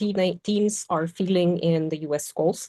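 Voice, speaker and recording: A woman speaks very slowly at a fairly low pitch, in a dark, mellow tone with fairly even intonation. The sound is dry and close, with no echo. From Poland. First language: Polish. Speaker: podcast panelist. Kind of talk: casual discussion.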